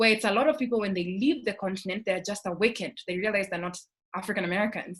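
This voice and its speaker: Over a quiet background, a woman with a Kenyan accent speaks at a very fast pace in a somewhat breathy, medium pitch with ordinary pitch variation. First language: Kikuyu. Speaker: scholarship alumna panelist. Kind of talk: panel discussion.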